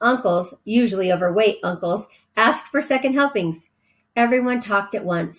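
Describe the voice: The background stays quiet. What you hear is plain reading aloud.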